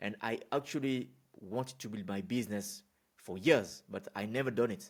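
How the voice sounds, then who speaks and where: A man speaks at a fairly slow pace with a French accent and a medium pitch. The recording is very clean, with a silent background. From France. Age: 20s. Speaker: business consultant. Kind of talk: unscripted talk to camera. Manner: casual, with fillers and repetitions.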